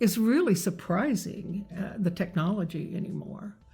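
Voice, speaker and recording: Somewhat breathy speech in an American accent moves at a moderate pace with fairly even intonation on a very clean recording with a silent background. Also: woman. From Kentucky. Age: 80s+. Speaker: hearing aid patient. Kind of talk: interview answer.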